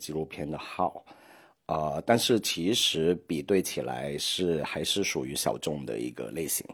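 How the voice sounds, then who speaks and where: With a Hong Kong accent, a man speaks at a fairly slow pace in a very deep, low pitch. His intonation is lively, and the recording is very clean with a silent background. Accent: Hong Kong-accented Mandarin. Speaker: podcast host. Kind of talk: solo podcast monologue. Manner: hesitant, many filler sounds.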